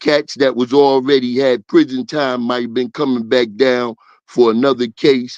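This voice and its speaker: A man with a Brooklyn accent at a fairly slow pace, with a dry, close sound and no echo. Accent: New York (Brooklyn). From Brooklyn, New York. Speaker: former gang member. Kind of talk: casual interview storytelling.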